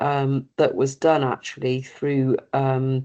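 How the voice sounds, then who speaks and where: A woman speaks in a very deep, low voice against a quiet background. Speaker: industry representative. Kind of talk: webinar presentation. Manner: hesitant, many fillers.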